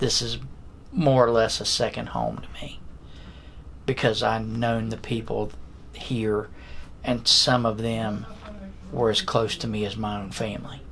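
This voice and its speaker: A man at medium pitch, speaking at a fairly slow pace with long, frequent pauses, ordinary pitch variation and audible room echo. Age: 60s. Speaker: county security director. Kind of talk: interview.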